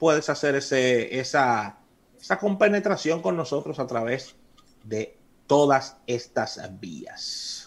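Here is a man with an ordinary speaking voice. He has a medium pitch and lively intonation. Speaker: radio host. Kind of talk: radio talk show, casual discussion. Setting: radio studio.

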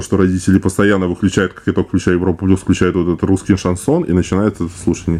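A male speaker is heard. His voice sits very deep and low. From Russia, Moscow. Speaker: actor and TikTok creator. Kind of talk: casual interview chat.

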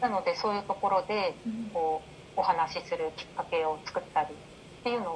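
A woman speaks with noticeable background noise behind her, her tempo moderate. Her voice sits at a medium pitch and varies in an ordinary way. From Japan. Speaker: life coach. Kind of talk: interview.

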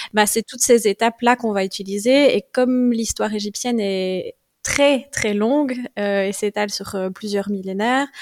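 In a normal speaking voice, a woman talks at a moderate pace with fairly even intonation, the sound dry and close with no echo. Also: fairly high pitch for a woman. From Belgium, Liège province. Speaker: Egyptologist and herbalist. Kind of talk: interview.

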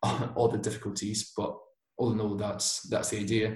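This man has a British accent, a fairly low pitch and fairly even intonation. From Basque Country, Spain. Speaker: robotics master's student. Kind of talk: casual interview.

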